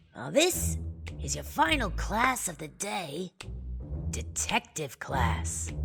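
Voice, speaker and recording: In a put-on character voice, the speaker goes at a very slow pace with long, frequent pauses while faint music plays in the background. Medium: read story. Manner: conspiratorial, casual.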